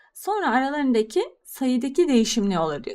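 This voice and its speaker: This woman has a high-pitched, animated voice that swings very widely in pitch. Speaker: math teacher. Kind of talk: tutorial.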